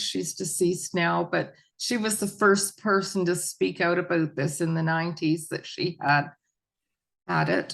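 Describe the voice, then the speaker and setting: Against a quiet background, a woman with a normal speaking voice talks at a fairly low pitch with fairly even intonation. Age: 60s. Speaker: mental health advocate sharing recovery story. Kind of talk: interview testimony.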